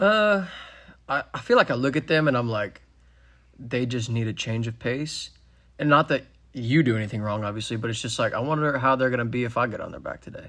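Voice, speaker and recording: A man with a Texan accent speaks at a fairly quick pace, his bright, sharp voice sitting at a medium pitch with ordinary pitch variation, on a very clean recording with a silent background. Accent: Texan American. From Texas, Frisco. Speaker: horse trainer. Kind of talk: casual chat. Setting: home barndominium.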